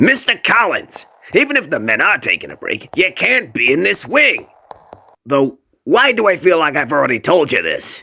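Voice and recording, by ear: A cartoonish character voice at a moderate pace. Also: man, high pitch for a man.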